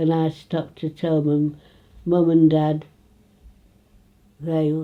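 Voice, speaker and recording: In an East Midlands accent, a woman speaks very slowly at a very deep, low pitch, her dark, mellow tone monotone and flat. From England, Retford, Nottinghamshire. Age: 80s+. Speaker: local elder reminiscing. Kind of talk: casual interview. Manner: halting.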